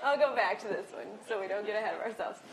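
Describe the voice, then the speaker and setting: Her intonation is lively and her tone bright and sharp. A woman speaks in an American accent, with audible room echo around her. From Iowa, US Midwest. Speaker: real estate instructor. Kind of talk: lecture. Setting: classroom with audience. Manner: fast.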